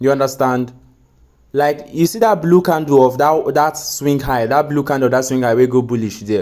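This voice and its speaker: Speaking in a Nigerian accent, a man keeps a moderate pace with ordinary pitch variation. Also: fairly high pitch for a man. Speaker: forex trading mentor. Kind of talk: recorded tutoring session. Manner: patient, explanatory.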